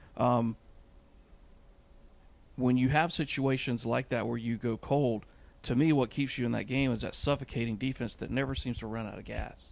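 Vocal fry colors speech delivered at a moderate pace with fairly even intonation and long, frequent pauses. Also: man, medium pitch for a man.

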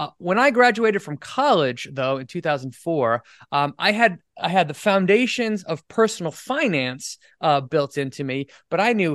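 A man with an American accent at a fairly slow pace with lively intonation, in a dry, close sound with no echo against a quiet background. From US Northeast, Rhode Island. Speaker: financial educator. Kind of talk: interview. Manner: halting.

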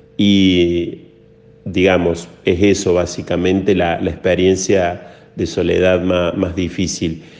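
Amid audible room echo, a man with a very deep, low pitch speaks very slowly in a monotone, flat manner. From Córdoba, Argentina. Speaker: priest. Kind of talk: interview. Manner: halting.

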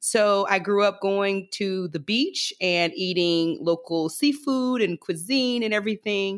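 On a very clean recording with a silent background, a woman speaks in a plain, everyday voice at medium pitch, with a fairly slow pace, lively intonation and hardly any pauses. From US South, Alabama Gulf Coast. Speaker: economic justice leader. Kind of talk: interview.

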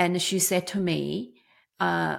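Very slowly, a woman talks on a very clean recording with a silent background. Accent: Chinese. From China. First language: Chinese. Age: 50s. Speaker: business owner. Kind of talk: interview storytelling. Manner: halting, many fillers.

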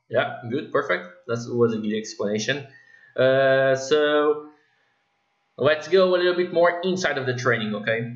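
Here a man speaks with a Portuguese accent. His pitch is medium and his pace fairly slow. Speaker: podcast host, fitness coach. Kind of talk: interview.

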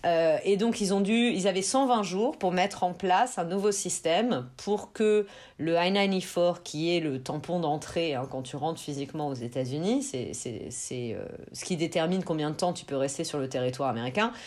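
The speaker moves at a fairly slow pace while the pitch swings very widely. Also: woman, fairly low pitch for a woman. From France. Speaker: immigration lawyer. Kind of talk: interview, explaining immigration procedures.

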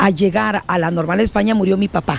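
A woman's moderate-paced speech comes with noticeable background noise. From Honduras, El Paraíso (Trojes). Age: 30s. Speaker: politician, party leader. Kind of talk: interview.

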